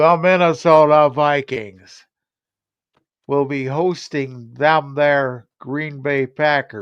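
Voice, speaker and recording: The man's fairly high voice moves very slowly, its intonation fairly even. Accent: West Virginia. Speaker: sports talk show co-host. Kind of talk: casual chat.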